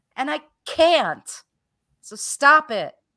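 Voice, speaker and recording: A woman's raised, projected voice, bright and sharp in tone with lively intonation, in a very clean recording with a silent background. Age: 60s. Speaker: holistic health teacher and coach. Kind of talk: casual chat. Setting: live stream.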